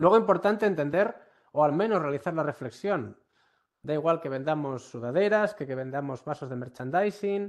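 A man with lively intonation over a quiet background. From Galicia, Ourense; Galicia, Spain. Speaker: university professor, workshop instructor. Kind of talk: online workshop lecture. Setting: online session. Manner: frequent fillers and hesitations. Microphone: video call.

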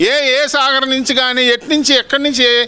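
A man uses a raised, projected voice at an extremely high pitch. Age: 70s. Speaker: farmer. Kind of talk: street interview answer. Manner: angry, blunt.

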